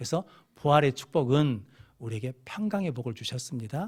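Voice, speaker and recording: In a very clean recording with a silent background, a man talks in an animated tone with very wide pitch swings and a somewhat breathy voice. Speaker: pastor. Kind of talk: sermon. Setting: church.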